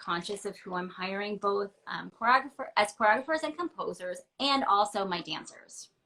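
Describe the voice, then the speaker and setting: This woman has a medium pitch and an American accent. Her tone is bright and sharp, and her pace is moderate. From Pennsylvania, US. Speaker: ballet dancer and company director. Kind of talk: interview. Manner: animated.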